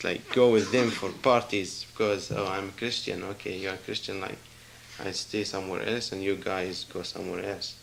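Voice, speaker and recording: A voice at a moderate pace with fairly even intonation, over noticeable background noise. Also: man. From Israel, Galilee. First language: not English (English is third language). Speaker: church visitor giving testimony. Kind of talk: testimony. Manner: halting.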